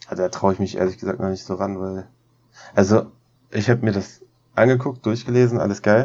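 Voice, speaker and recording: A fairly low-pitched man talks at a fairly quick pace with fairly even intonation and long, frequent pauses. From Lower Saxony, Germany (Braunschweig). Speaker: photographer and filmmaker. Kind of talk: casual chat.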